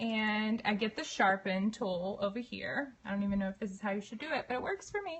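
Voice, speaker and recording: A woman talks at a fairly quick pace in a Southern US accent, with hardly any pauses. There is noticeable background noise. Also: fairly high pitch for a woman, ordinary pitch variation. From US South, Mobile, Alabama. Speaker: photographer. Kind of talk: tutorial. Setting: live stream on couch. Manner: casual, chatty.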